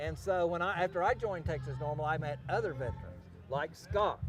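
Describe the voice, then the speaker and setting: A man talks in a normal speaking voice, pitched fairly high. His pace is fairly quick and his intonation lively. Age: 60s. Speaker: army veteran and cannabis activist. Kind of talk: interview.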